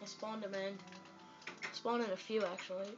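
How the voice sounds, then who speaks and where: Moderate-paced speech with faint music in the background. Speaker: gamer filming his TV. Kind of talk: casual gameplay commentary. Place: home room. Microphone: phone near.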